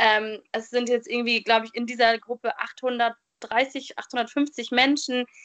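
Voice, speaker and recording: The delivery is very slow, with fairly even intonation and hardly any pauses. The sound is dry and close, with no echo. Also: woman, high pitch for a woman. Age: 20s. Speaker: podcast host, trained educator. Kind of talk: interview guest telling life story. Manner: hesitant, many filler sounds.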